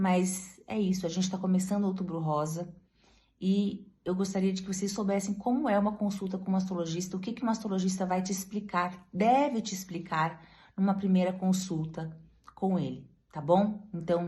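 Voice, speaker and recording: Somewhat breathy and dark, mellow in tone, a woman speaks at a moderate pace with fairly even intonation, and room echo is audible. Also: medium pitch for a woman. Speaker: breast surgeon (mastologist). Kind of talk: medical explainer talk to camera.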